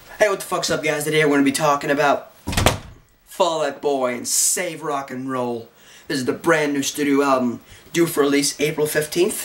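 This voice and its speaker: A man's fairly high voice at a moderate pace over noticeable background noise. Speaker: music reviewer. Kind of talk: album review vlog. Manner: animated.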